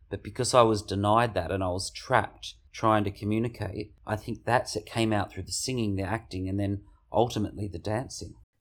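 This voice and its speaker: The recording is very clean with a silent background as a man with an Australian accent speaks at a fairly quick pace with fairly even intonation. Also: fairly low pitch for a man, hardly any pauses. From rural Victoria, Australia (Mildura). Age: 50s. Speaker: dancer and choreographer. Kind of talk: interview. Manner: talkative.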